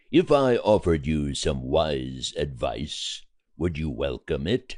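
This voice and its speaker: A man puts on a character voice with a very deep, low pitch, speaking at a fairly slow pace. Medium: audio drama. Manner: measured, respectful, earnest.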